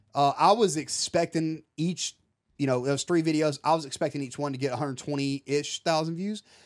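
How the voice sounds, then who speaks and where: A man's fairly high voice, a normal speaking voice, at a moderate pace with fairly even intonation, on a very clean recording with a silent background. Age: 30s. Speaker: fishing YouTuber and army veteran. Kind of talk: casual chat.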